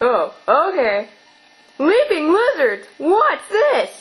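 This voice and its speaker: This put-on character voice is extremely high, moves very slowly, and swings very widely in pitch. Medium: audio drama. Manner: excitable, gee-whiz.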